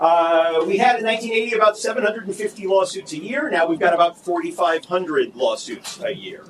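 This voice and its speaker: Loud and high-pitched, a man speaks at a fairly quick pace with hardly any pauses over noticeable background noise. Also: ordinary pitch variation. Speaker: law professor. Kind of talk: conference panel talk.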